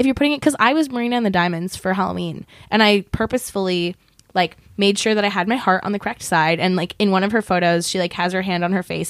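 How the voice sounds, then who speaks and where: Very fast and animated, a woman talks at a medium pitch with lively intonation. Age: 20s. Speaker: podcast co-host. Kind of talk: casual chat.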